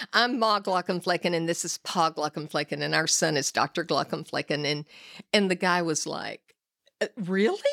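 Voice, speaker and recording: Heard in a very clean recording with a silent background, a woman with an American accent speaks at a moderate pace with a fairly low pitch and ordinary pitch variation. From Texas. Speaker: host's mother, visiting guest. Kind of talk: casual chat. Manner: animated, laughing.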